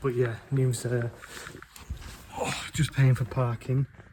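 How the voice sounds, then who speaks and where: Noticeable background noise sits behind this man's voice. He speaks fairly slowly at a medium pitch with fairly even intonation. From northern England, Wigan near Manchester. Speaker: travel vlogger. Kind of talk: casual vlog talk to camera. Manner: casual, filler-heavy.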